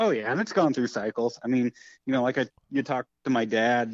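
An unremarkable speaking voice from a man with an American accent, medium in pitch and at a fairly quick pace. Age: 30s. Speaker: race car driver and builder. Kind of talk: interview.

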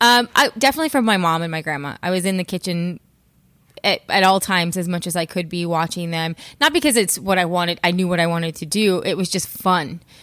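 Very fast and with an American accent, a woman with a fairly low pitch speaks in a very clean recording with a silent background. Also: ordinary pitch variation. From California high desert. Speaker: executive chef. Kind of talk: interview.

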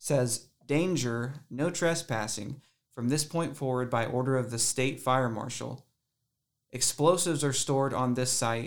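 Heard in a very clean recording with a silent background, a man speaks in an ordinary speaking voice at a medium pitch and moderate pace. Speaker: paranormal investigator. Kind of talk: casual chat.

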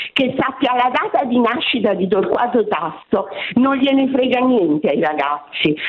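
A woman talks at a moderate pace, her pitch swinging very widely. Noticeable background noise sits behind her. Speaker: retired teacher. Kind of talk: radio call-in. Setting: phone call.

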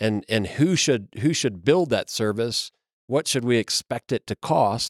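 An unremarkable speaking voice with an American accent talks at a fairly slow pace with ordinary pitch variation, on a very clean recording with a silent background and a dry, close sound with no echo. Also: man. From Kentucky, US. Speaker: broadband mapping company representative. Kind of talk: interview conversation. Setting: conference media center.

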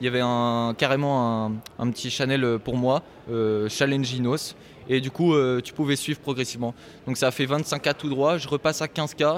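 Fairly even intonation marks a plain, everyday voice moving at a moderate pace. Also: man, medium pitch for a man. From Normandy, France. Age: 20s. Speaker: poker player. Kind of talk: casual chat.

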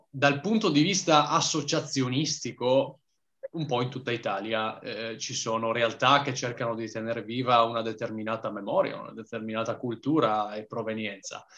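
A man with a normal speaking voice talks at medium pitch and a moderate pace, with ordinary pitch variation and big swings in loudness. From Trieste, Italy. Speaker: history content creator. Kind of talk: casual interview.

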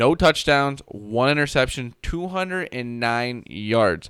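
This is an ordinary speaking voice with ordinary pitch variation. It goes at a fairly slow pace. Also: man. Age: 20s. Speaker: sports podcast host. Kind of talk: casual chat.

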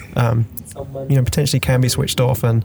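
A man at medium pitch, fairly quick, with fairly even intonation over noticeable background noise. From London, England. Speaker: podcast host. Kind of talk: casual interview.

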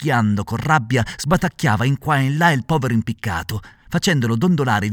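Lively intonation colors a natural reading voice.

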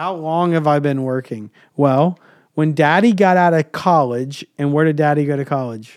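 A man talks in a normal speaking voice at a fairly high pitch. His pitch variation is ordinary, and his pace is moderate. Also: very clean recording, silent background. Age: 30s. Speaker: podcast host and leadership coach. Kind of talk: casual chat with his kids. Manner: warm, encouraging.

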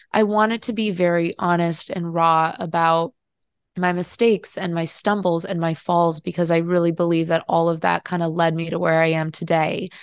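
A woman talks in a normal speaking voice with a General American accent and a fairly low pitch. Her intonation is fairly even, her pace moderate, and the background quiet. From Colombia (Bogota), raised in US. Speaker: travel writer and author. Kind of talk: interview.

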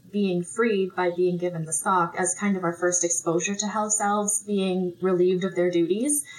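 Her voice sits at a medium pitch with a slight Canadian accent, fairly even intonation and very even loudness. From Manitoba, Canada. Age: 20s. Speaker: elementary school teacher. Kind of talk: casual chat.

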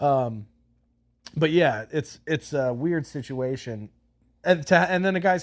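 Here is a man with an unremarkable speaking voice and ordinary pitch variation, going at a fairly slow pace. The recording is very clean, with a silent background. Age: 30s. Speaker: podcast host. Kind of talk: casual chat.

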